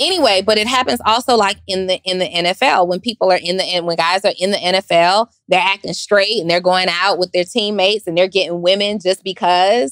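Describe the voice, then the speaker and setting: A woman's medium-pitched voice at a fairly quick pace, fairly even in intonation, with hardly any pauses and a dry, close sound with no echo. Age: 40s. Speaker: podcast host. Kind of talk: casual chat.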